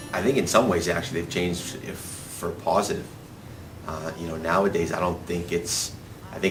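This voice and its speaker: A man with a Boston accent and very deep, low pitch, fairly even intonation, audible room echo and noticeable background noise. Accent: urban Boston-area. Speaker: interviewee. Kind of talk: interview.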